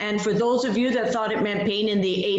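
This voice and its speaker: A fairly high-pitched woman's voice carries audible echo from the room. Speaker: privacy advisor. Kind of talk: webinar presentation.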